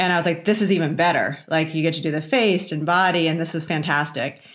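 Here is a plain, everyday voice, a woman's, fairly low in pitch and in an American accent. She moves at a fairly quick pace with fairly even intonation. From Virginia, US. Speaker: facial plastic surgeon and professor. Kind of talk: interview conversation.

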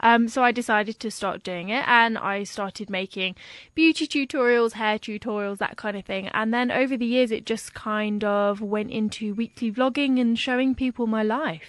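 Hardly pausing, a woman with an ordinary speaking voice talks at a moderate pace and fairly high pitch, her intonation fairly even against a quiet background. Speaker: blogger. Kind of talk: casual interview chat.

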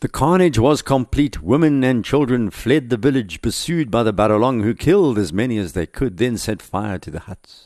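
With a dramatic tone and lively intonation, a man talks at a moderate pace with hardly any pauses. His pitch is medium, and the background is quiet. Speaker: podcast historian narrator. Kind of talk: history documentary narration, scripted storytelling. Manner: steady, measured, dramatic storytelling pace; conversational, wry asides.

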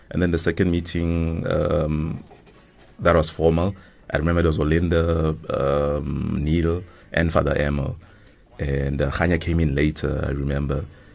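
Noticeable background noise sits behind a man with a very deep, low pitch. He speaks at a moderate pace with monotone, flat intonation. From South Africa, Soweto. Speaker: radio producer and voiceover artist. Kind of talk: interview. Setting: studio.

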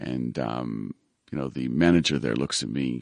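A man's fairly quick speech with vocal fry and ordinary pitch variation. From Israel. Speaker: recruitment business founder. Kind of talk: interview. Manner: hesitant, many fillers.

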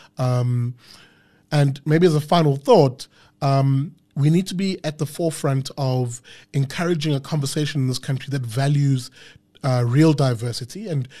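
A man's fairly high, somewhat breathy voice with a dark, mellow tone. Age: 30s. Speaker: podcast host. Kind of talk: casual chat; rant. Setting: studio.

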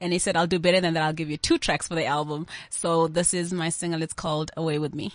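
Very fast and monotone, a woman talks at a fairly low pitch with flat intonation. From South Africa, KwaZulu-Natal. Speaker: singer-songwriter. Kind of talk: interview.

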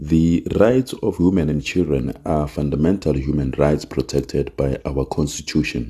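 Vocal fry runs through this man's very deep, low pitch and dark, mellow tone. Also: ordinary pitch variation, moderate pace, hardly any pauses. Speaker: parliament spokesperson reading official statement. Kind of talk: formal institutional statement read aloud, solemn and official in tone. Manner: formal; measured, with occasional hesitations and fillers.

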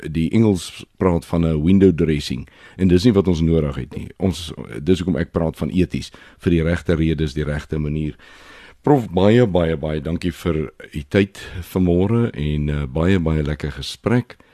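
A man speaks in a very deep, low pitch with ordinary pitch variation and a dark, mellow tone. The background is quiet. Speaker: radio host. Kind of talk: radio presenting.

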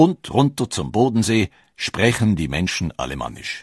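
Vocal fry marks a man's speech, with very wide pitch swings at a fairly slow pace. The sound is dry and close with no echo, against a quiet background. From Switzerland. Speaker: documentary narrator. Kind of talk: scripted narration.

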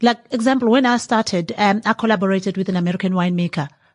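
The background is quiet as a woman talks at a very fast pace. Her voice is medium-pitched and somewhat breathy, with ordinary pitch variation. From KwaZulu-Natal, South Africa. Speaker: winemaker and entrepreneur. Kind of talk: interview. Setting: 28th-floor venue at a business forum.

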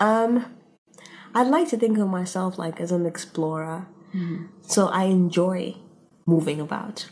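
Over noticeable background noise, a woman speaks at a fairly slow pace with long, frequent pauses. Her pitch is medium, with ordinary pitch variation. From Tanzania. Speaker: PhD student. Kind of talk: casual chat.

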